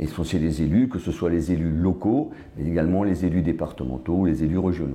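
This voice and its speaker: A man's very deep, low voice with vocal fry, a dark, mellow tone and a moderate pace, in audible room echo. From Alsace, France (Strasbourg area). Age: 60s. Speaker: politician. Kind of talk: interview. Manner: hesitant with fillers.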